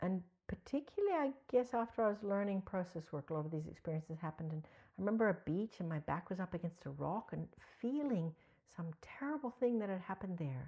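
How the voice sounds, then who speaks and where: A woman speaks very fast at a medium pitch, her tone dark, mellow and warm. Her voice is somewhat breathy and her intonation lively. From mixed Australia (Canberra) and US (Ohio). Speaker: psychotherapy trainer. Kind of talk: podcast interview. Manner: warm, conversational.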